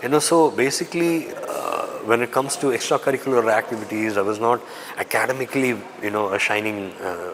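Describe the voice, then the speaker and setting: A man with a Tamil accent speaks at a fairly quick pace with ordinary pitch variation against noticeable background noise. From raised in Dubai, Tamil family. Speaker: actor. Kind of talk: interview.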